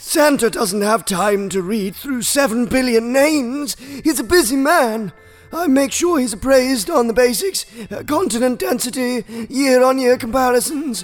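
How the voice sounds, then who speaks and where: Speaking at a moderate pace in a fairly high put-on character voice, this speaker is heard over faint background music. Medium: audio drama. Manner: jolly, old-fashioned.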